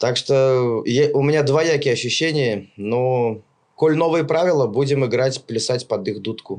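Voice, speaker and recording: A normal speaking voice from a man, medium in pitch, with ordinary pitch variation and a fairly slow pace. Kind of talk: casual chat.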